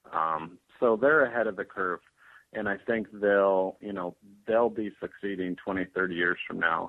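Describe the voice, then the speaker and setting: A man's fairly low, plain, everyday voice, at a fairly slow pace with ordinary pitch variation. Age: 30s. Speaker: kombucha company founder. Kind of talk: interview.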